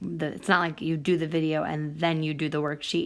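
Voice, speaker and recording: Speaking at a moderate pace in a normal speaking voice, this clip is a very clean recording with a silent background. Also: woman. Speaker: math teacher. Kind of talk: tutorial.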